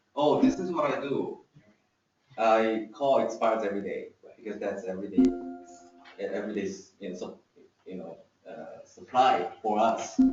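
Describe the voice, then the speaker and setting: With music playing behind him, a man talks with long, frequent pauses and big swings in loudness. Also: moderate pace. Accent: non-native. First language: not English. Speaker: real estate agent. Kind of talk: casual talk to a group. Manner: halting, with restarts.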